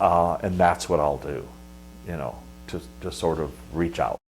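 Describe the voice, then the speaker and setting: Speaking at a fairly slow pace in a Pacific Northwest accent, a man with a very deep, low voice shows vocal fry. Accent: General American (Pacific Northwest). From US Pacific Northwest (Washington, northern Idaho). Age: 60s. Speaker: monastic abbot. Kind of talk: interview. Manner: halting, many fillers.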